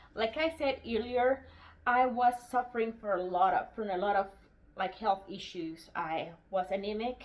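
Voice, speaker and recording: Speaking with a non-native accent, a woman uses a fairly high pitch and lively intonation at a fairly slow pace. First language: non-English. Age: 40s. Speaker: homesteading YouTuber. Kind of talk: casual book review vlog. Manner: halting, with fillers.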